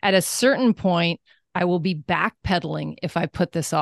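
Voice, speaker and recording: A woman's fairly low voice with vocal fry and ordinary pitch variation sounds dry and close with no echo against a quiet background. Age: 50s. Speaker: wellness coach and entrepreneur. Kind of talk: interview conversation.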